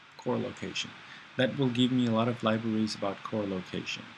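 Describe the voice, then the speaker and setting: Fairly quick talking comes through noticeable background noise. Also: man. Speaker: programming instructor. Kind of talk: screencast tutorial. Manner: fast; halting, many fillers.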